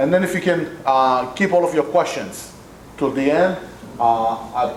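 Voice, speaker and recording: Recorded with noticeable background noise and audible room echo, a man speaks at a fairly slow pace and very even loudness, his fairly high pitch showing ordinary pitch variation. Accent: Israeli. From Israel. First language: Hebrew. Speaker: community center executive director. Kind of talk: talk to a club audience. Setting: meeting room with PA microphone and audience. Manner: hesitant with many fillers and repetitions.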